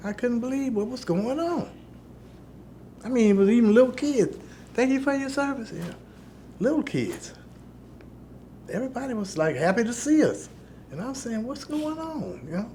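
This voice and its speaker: A man's extremely high, dark, mellow voice with an American accent, lively intonation, a moderate pace, long, frequent pauses and audible room echo. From Chicago, US Midwest. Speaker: war veteran. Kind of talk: interview testimony.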